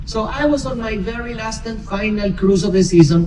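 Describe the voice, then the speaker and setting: A man with a Spanish accent speaks at a high pitch in an animated tone, at a moderate pace and with ordinary pitch variation. Noticeable background noise and audible room echo surround him. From Argentina, Buenos Aires. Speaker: cruise director. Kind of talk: onboard presentation to passengers.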